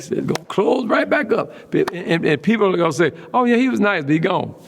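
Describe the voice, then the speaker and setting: A man's high-pitched, very fast, animated delivery with very wide pitch swings, over noticeable background noise. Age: 70s. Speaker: retiring pastor. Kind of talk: interview conversation. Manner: animated storytelling.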